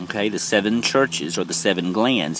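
Loud background noise surrounds the recording. A man speaks in a dry sound with no echo. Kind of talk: informal spiritual lecture. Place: garden. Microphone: phone near.

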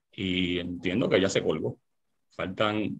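Over a quiet background, a man talks in a very deep, low pitch. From Puerto Rico. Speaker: lawyer and political panelist. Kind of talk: political panel debate on radio. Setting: radio studio broadcast. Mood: critical, argumentative. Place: home room. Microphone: video call.

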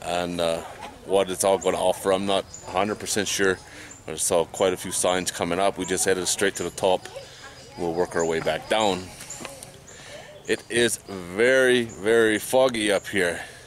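Over light background noise, a man with a very deep, low voice speaks at a fairly slow pace with fairly even intonation and long, frequent pauses, the sound dry with no echo. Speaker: travel vlogger. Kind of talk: casual vlog chat. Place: forest. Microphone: phone near.

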